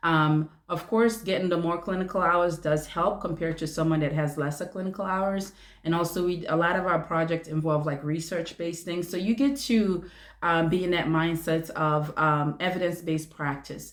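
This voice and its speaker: Speaking with a non-native accent, a woman uses a fairly low pitch, a moderate pace and fairly even intonation. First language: not English. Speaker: family nurse practitioner, video creator. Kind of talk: casual vlog talk to viewers. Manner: hesitant, many fillers.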